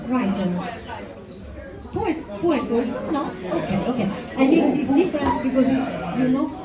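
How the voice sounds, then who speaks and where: Against crowd noise and audible room echo, a woman with a high pitch and lively intonation speaks at a moderate pace, leaving long, frequent pauses. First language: Italian. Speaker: poet and author. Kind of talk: book presentation to audience. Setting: restaurant event with live audience, microphone. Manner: halting, many fillers.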